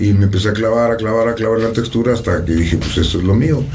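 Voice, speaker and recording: A man's very fast speech with a central Mexican accent, amid audible room echo and noticeable background noise. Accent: Mexican Spanish (central Mexico). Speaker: rapper. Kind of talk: casual chat.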